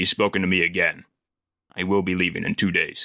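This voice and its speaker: A man uses a put-on character voice, very deep and low in pitch, at a fairly quick pace. His loudness stays very even, and the sound is dry and close with no echo. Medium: actual play. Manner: terse, subdued.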